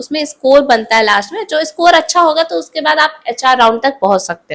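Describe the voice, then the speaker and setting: A woman talks at a moderate pace in a high voice whose pitch swings very widely. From India, Jharkhand (Ranchi). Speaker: vlogger. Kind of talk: tutorial. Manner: casual conversational.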